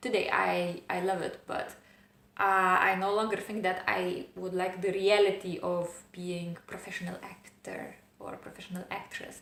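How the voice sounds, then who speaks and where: A woman with a non-native accent speaks fairly slowly at a medium pitch. Her intonation is monotone and flat, with audible room echo. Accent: foreign accent, clearly noticeable. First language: not English. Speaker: self-help vlogger. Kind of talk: personal vlog monologue. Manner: hesitant, with fillers.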